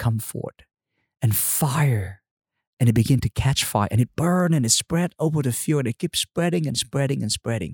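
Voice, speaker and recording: A man with a Vietnamese accent talks at a moderate pace and medium pitch. His voice is somewhat breathy, with lively intonation. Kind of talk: interview testimony.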